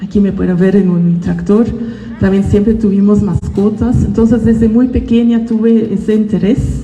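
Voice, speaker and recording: A woman with a Dutch accent speaks at a fairly slow pace and medium pitch, with ordinary pitch variation, audible room echo and noticeable background noise. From Belgium (Ghent, Flanders). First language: Dutch (speaking Spanish). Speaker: botanist. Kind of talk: school talk to students. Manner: hesitant, with fillers.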